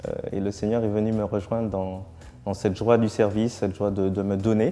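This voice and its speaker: Fairly low in pitch, a man with a dark, mellow tone talks at a moderate pace with fairly even intonation. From Martinique. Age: 30s. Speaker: newly ordained priest. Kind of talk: testimony. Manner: halting, many hesitations.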